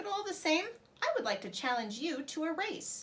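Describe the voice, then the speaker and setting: Putting on a squeaky character voice, a woman speaks at a moderate pace, extremely high in pitch with very wide pitch swings. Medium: read story. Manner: calm, slow, kindly.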